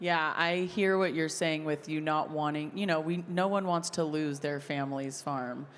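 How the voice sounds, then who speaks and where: Her pitch is very deep and low, and her intonation fairly even at a moderate pace. Audible room echo surrounds this woman's voice. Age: 30s. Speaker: content creator and farmer. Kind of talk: interview conversation. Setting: stage with audience at a convention.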